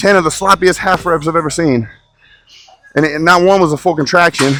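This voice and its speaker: Loud and at a fairly quick pace, a man speaks at a high pitch with ordinary pitch variation. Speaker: bodybuilder and fitness coach. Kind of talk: casual vlog talk during a gym workout. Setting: gym.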